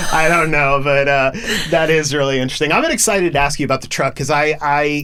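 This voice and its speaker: This man has a fairly high pitch and speaks at a very fast pace, with fairly even intonation and very even loudness. There is noticeable background noise. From Oklahoma. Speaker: podcast host. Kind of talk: casual interview chat.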